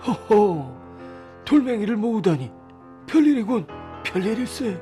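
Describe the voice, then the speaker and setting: A man does a put-on character voice at a high pitch with very wide pitch swings. He goes at a fairly slow pace over clear music in the background. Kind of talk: bedtime story reading. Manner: soft, calm.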